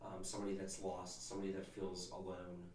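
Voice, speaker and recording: Noticeable background noise and audible room echo surround the recording. A man talks at a moderate pace in a very deep, low pitch. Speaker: podcast host's husband, former non-believer. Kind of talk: casual faith conversation and testimony. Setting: home studio, behind the camera.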